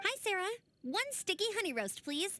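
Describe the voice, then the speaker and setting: In a squeaky, energetic put-on character voice, a woman speaks at a moderate pace in an extremely high pitch. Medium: video game. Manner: bright, energetic.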